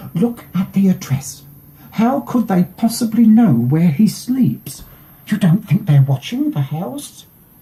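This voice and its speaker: A put-on character voice, shaky and at a middle pitch, delivered at a fairly slow pace with very wide pitch swings. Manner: quivering, fearful.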